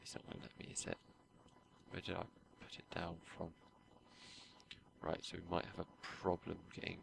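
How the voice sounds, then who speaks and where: A man speaks quietly at a fairly quick pace, broken by long, frequent pauses. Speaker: gaming YouTuber. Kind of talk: gameplay commentary. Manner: hesitant, many fillers.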